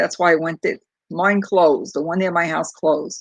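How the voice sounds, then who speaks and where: A fairly low-pitched woman's voice in a Brooklyn accent. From New York City, Brooklyn. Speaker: crochet YouTuber. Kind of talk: casual livestream chat. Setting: livestream on laptop. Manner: halting, many fillers.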